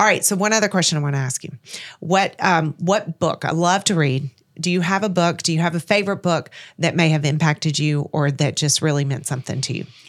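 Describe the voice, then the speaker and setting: In a plain, everyday voice, a woman speaks fairly quickly with an American accent, her fairly low pitch showing ordinary variation, on a very clean recording with a silent background. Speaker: podcast host. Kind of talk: interview.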